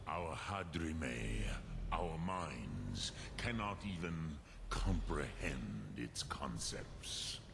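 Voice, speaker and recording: Over loud background noise, a man performs a put-on character voice, his pitch very deep and low. The pace is very slow. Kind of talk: mythic game voice acting. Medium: video game. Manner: slow, measured, with dragon-tongue words.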